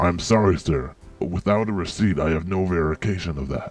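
In a cartoonish character voice, a man talks at a fairly quick pace with a very deep, low pitch while faint music plays in the background. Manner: deadpan.

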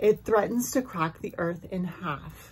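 Her voice comes across as somewhat breathy. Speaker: spiritual content creator. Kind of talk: storytelling vlog. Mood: calm, dramatic storytelling. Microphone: phone near.

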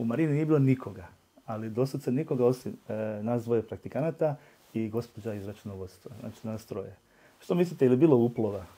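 Speaking very fast at a medium pitch, a man shows ordinary pitch variation and big swings in loudness. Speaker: politician and language teacher. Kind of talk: interview. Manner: hesitant, frequent filler sounds.

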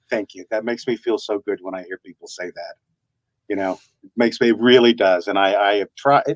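Against a quiet background, a man with an American accent speaks at a fairly quick pace and fairly low pitch, with fairly even intonation, big swings in loudness and a dry sound with no echo. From US South. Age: 60s. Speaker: voice actor. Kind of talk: interview. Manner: halting. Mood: warm, grateful. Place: home room. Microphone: video call.

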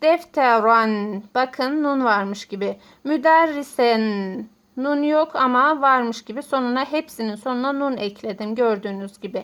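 Very slowly, a woman speaks in a high pitch. The recording is very clean, with a silent background. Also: ordinary pitch variation. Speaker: Arabic teacher. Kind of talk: tutorial.

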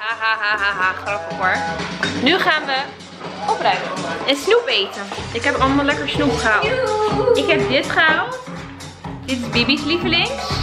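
A woman at a moderate pace with long, frequent pauses, over loud music in the background. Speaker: vlogger. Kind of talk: casual vlog chat. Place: home room. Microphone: phone near.

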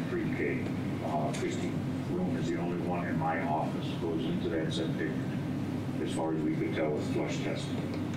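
Loud background noise and audible room echo accompany a man speaking at a moderate pace. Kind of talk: meeting report. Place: meeting room. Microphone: camera far.

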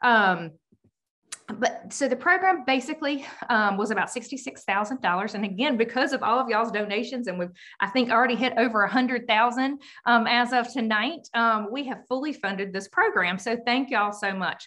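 The voice has a bright, sharp tone with ordinary pitch variation. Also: woman, fairly high pitch for a woman. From US South. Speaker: state party director. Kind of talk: presentation. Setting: video call. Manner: fast talker; excited, animated. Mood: upbeat, grateful. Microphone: video call.

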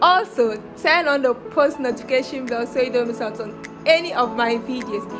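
Clear music can be heard behind the voice. The speaker is a woman. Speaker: vlogger. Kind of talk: casual vlog chat. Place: home room. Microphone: phone near.

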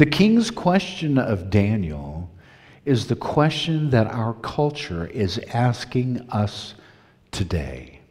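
Against a quiet background, a man speaks very slowly and somewhat breathily, his pitch swinging very widely. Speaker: preaching minister. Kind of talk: church sermon delivered to a congregation. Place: church.

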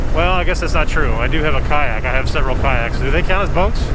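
A fairly quick pace and a dry sound with no echo, over loud background noise. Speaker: motorcycle vlogger. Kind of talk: casual vlog chat. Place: motorbike. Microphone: helmet.

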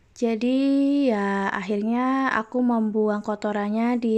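Using a fairly high pitch and fairly even intonation, a woman speaks at a very slow pace. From Central Java (Kebumen), Indonesia. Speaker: vlogger, housewife. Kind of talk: casual vlog narration. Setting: at home.

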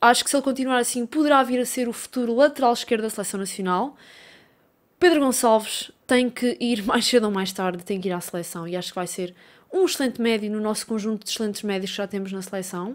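Against a quiet background, a woman speaks at a very fast pace. Her pitch varies in an ordinary way. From Portugal, Coimbra; Portugal. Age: 20s. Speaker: YouTuber and football fan; YouTuber. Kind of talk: casual Q&A video. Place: home room. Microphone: studio mic.

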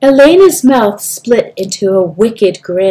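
With lively intonation, the speaker does plain reading aloud.

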